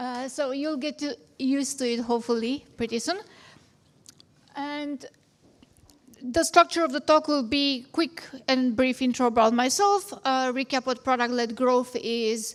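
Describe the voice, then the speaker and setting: A high-pitched woman with a Romanian accent, ordinary pitch variation, a fairly slow pace and long, frequent pauses. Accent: Romanian accent, still noticeable. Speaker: product management founder, conference speaker. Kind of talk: conference talk.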